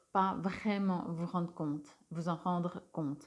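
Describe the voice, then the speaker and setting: A woman with a medium pitch speaks with fairly even intonation. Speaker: tarot reader and energy healer. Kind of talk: spiritual card reading guidance. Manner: hesitant, many filler sounds.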